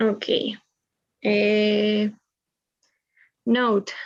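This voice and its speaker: A woman's fairly high voice with a Spanish accent. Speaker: medical student. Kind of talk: reading aloud. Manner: halting.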